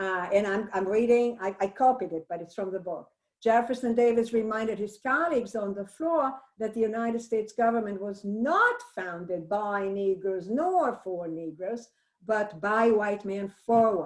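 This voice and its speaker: A woman's fairly high voice with a Brazilian accent, ordinary pitch variation and a moderate pace. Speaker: English professor. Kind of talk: book discussion.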